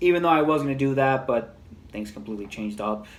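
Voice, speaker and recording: Talking at a fairly quick pace and a fairly high pitch with ordinary pitch variation, a man is heard with audible room echo. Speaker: movie reviewer. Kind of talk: casual video review. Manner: halting, stuttering.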